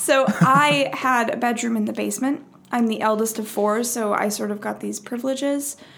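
With an American accent, a woman with a fairly high pitch speaks at a moderate pace amid noticeable background noise. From Minnesota. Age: 20s. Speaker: actor. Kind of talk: casual chat.

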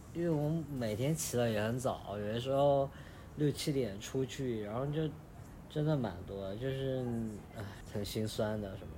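A man at medium pitch, somewhat breathy, dark and mellow in tone, at a moderate pace with ordinary pitch variation, long, frequent pauses and audible room echo. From Chengdu, Sichuan. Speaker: data analyst traveling. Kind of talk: casual chat.

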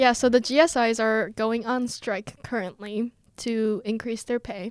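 Very slowly and with fairly even intonation, a woman with an American accent speaks at a fairly high pitch. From South Korea (Seoul) and US. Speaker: podcast co-host, university student. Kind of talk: casual chat.

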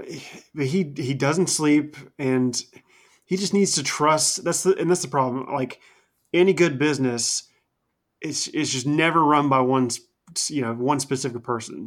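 This man's voice is a plain, everyday voice, fairly high in pitch for a man, with ordinary pitch variation and a fairly slow pace. The recording is very clean, with a silent background. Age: 20s. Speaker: wrestling podcast co-host. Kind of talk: casual chat.

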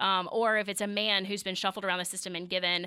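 A woman with a Mississippi accent speaks very fast at a medium pitch, her bright, sharp tone held in a flat monotone over a very clean recording with a silent background. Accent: Southern US (Mississippi). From US South, Meridian, Mississippi. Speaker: physical therapist and clinic owner. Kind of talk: radio interview.

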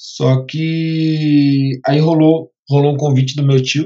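A man's fairly high, somewhat breathy voice in a flat monotone. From Brazil, Guarulhos (São Paulo area). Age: 20s. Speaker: photographer. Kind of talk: interview. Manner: halting, repeats words.

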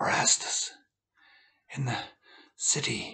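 The speaker puts on a character voice. It comes out hoarse and raspy.

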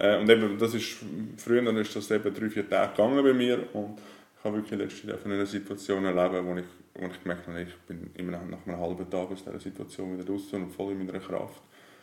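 A man races through his words very fast, with fairly even intonation. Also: fairly low pitch for a man. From Switzerland, Zurich area. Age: 30s. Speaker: life coach. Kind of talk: casual interview.

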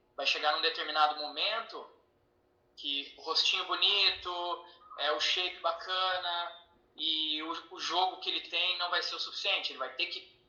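A man speaks at a high pitch and a moderate pace. His intonation is fairly even, and room echo is audible. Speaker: parent and athlete manager. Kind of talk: interview.

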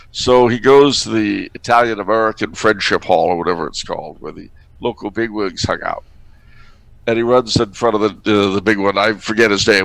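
This man has a fairly low pitch with ordinary pitch variation. He talks at a fairly quick pace. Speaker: podcaster and commentator. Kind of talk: casual banter with political commentary. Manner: animated, jokey, does accents and voices.

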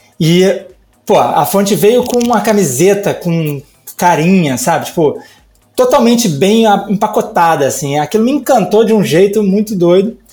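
The speaker keeps a moderate pace and very even loudness with lively intonation. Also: man, high pitch for a man. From Brazil, Rio de Janeiro. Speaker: type designer. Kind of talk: casual interview chat. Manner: hesitant, many fillers.

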